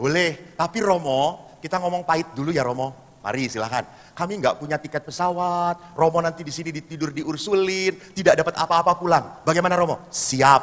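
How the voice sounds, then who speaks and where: Talking at a fairly quick pace, a man with a high pitch and ordinary pitch variation sounds animated. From Solo area, Central Java. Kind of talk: seminar talk. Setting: hall with audience.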